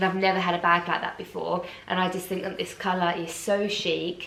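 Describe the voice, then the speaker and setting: Medium in pitch, a woman talks at a moderate pace. Audible room echo and noticeable background noise come through. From England. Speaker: fashion vlogger. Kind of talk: unboxing vlog, casual.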